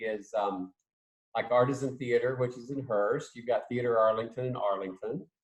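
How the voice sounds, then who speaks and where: Somewhat breathy, a man speaks at a moderate pace in a medium pitch. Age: 60s. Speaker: theatre professor. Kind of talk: casual interview.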